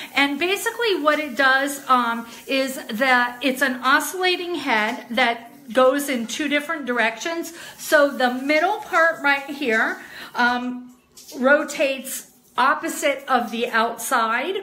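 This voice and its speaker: Her voice is raised and projected as the woman speaks very slowly with ordinary pitch variation. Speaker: product seller. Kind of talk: casual product demo livestream. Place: bathroom. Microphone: phone near.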